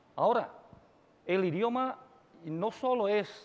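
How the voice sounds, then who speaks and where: A man with a Chinese accent speaks at a fairly slow pace with lively intonation. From China. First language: Chinese (speaking Spanish). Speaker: university dean, Hispanist. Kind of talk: conference talk. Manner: halting, many fillers.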